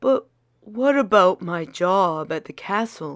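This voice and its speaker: In a put-on character voice, a female-sounding speaker talks fairly slowly at a middle pitch on a very clean recording with a silent background. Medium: read story.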